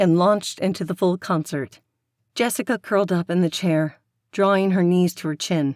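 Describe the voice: In a quiet background, someone does plain reading aloud.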